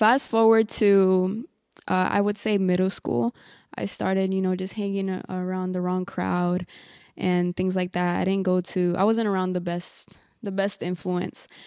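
A woman with an ordinary speaking voice talks at a fairly slow pace, medium in pitch and fairly even in intonation. The recording is very clean with a silent background. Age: 20s. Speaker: lay evangelist. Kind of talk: testimony.

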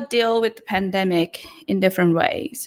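A woman is speaking. She has a Cambodian accent. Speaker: newsletter writer. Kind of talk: casual interview. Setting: online live audio call.

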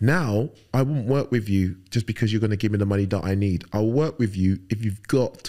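In a London accent, a man speaks at a moderate pace with a fairly low pitch and ordinary pitch variation. The recording is very clean, with a silent background. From London, England (Fulham, West London); born in Nigeria. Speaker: firefighter and bodybuilder. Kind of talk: casual interview.

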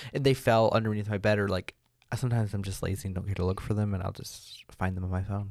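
A man with a fairly low pitch and fairly even intonation speaks at a very fast pace. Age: young. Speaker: podcast co-host. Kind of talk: casual chat.

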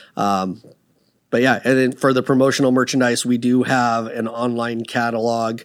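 A man with a West Coast US accent at a moderate pace, in a very clean recording with a silent background. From US Pacific Northwest, Seattle area. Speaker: business owner. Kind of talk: casual interview.

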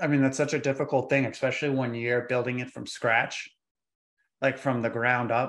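A man speaks at a moderate pace in a medium pitch. His intonation is monotone and flat. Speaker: podcast host. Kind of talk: casual interview.

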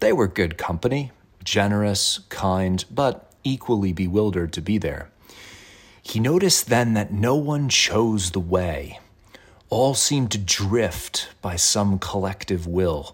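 A man's normal speaking voice, fairly low in pitch, at a fairly slow pace with lively intonation. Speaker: poetry reader and faith commentator. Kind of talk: poem reading followed by reflective devotional commentary. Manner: measured, contemplative, earnest.

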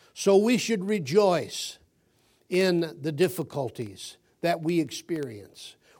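A man with a high voice talks very slowly, his intonation lively. The recording is very clean, with a silent background. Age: 70s. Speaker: guest preacher. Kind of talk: sermon. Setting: church.

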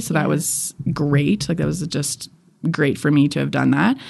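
In a Canadian accent, a woman speaks at a moderate pace. Her very deep, low voice carries vocal fry. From Edmonton, Alberta, Canada. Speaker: photographer and podcaster. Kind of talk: interview. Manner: casual, with many fillers.

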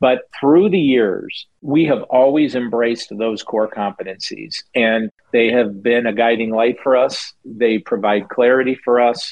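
A man with an American accent has an ordinary speaking voice at a medium pitch with ordinary variation. He talks at a fairly slow pace with hardly any pauses. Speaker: racetrack owner. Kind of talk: interview.

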